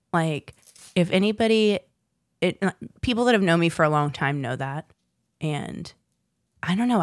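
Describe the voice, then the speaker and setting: Lively intonation marks a woman speaking at a moderate pace. The recording is very clean and dry, close with no echo and a silent background. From Southern Virginia, US South. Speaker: podcast co-host. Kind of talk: casual chat. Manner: animated.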